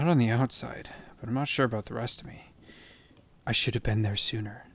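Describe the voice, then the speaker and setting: A soft-spoken man with a calm tone. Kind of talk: bedtime audiobook reading. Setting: rain and thunderstorm ambience in background. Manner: soft-spoken, calm, relaxing.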